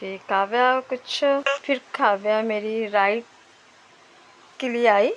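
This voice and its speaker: Soft-spoken and fairly high-pitched, a woman talks at a very slow pace with fairly even intonation and long, frequent pauses. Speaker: vlogger, mother. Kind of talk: travel vlog narration. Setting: outdoors in snowy valley.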